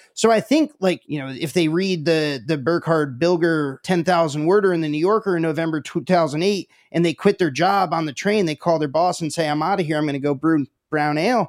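A man with an ordinary speaking voice at a fairly high pitch, ordinary pitch variation and hardly any pauses, in a dry, close sound with no echo. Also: fairly quick pace. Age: 30s. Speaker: podcast host. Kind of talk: interview.

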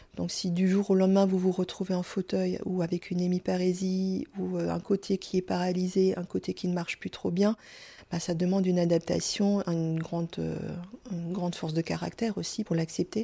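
A woman speaks at a moderate pace in a somewhat breathy, dark and mellow voice with monotone, flat intonation, on a very clean recording with a silent background. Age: 50s. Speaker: stroke survivor. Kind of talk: testimony. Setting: at her home. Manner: halting, stumbling over words.

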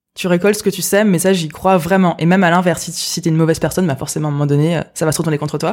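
A woman speaks with an ordinary speaking voice at a fairly low pitch and ordinary pitch variation, on a very clean recording with a silent background. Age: 20s. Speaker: entrepreneur. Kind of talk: interview.

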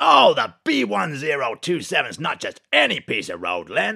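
Putting on a character voice, a man talks at a fairly slow pace and a fairly high pitch. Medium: comedy sketch. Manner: repetitive, emphatic, keeps repeating phrases.

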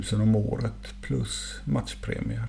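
A very slow-paced man's voice against noticeable background noise. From Sweden, Gothenburg. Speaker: former professional footballer. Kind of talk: casual interview.

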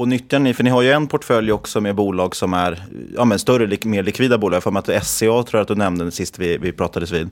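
A man talks at a fairly quick pace with a fairly low pitch. He has an unremarkable speaking voice with ordinary pitch variation. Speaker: podcast host. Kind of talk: interview.

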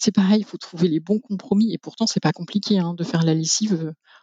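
Somewhat breathy, a woman's voice comes through with a dry, close sound and no echo. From rural France. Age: 40s. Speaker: zero-waste practitioner. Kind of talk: interview testimony. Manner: halting.

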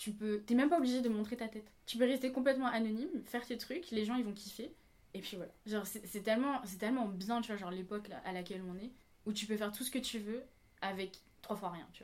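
Speaking at a fairly quick pace, a woman with an ordinary speaking voice and a fairly high pitch shows ordinary pitch variation and big swings in loudness. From Réunion. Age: 20s. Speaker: flight attendant, dancer. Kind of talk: casual chat.

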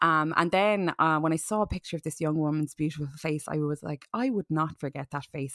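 Speaking at a fairly quick pace with an Irish accent, a woman uses a very deep, low pitch and ordinary pitch variation in a dry, close sound with no echo. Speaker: podcast host. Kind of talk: casual chat. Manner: animated.

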